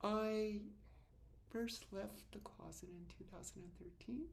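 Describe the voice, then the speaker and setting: A woman speaking at a fairly slow pace amid audible room echo. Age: 60s. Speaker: vlogger. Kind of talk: personal video diary. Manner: halting.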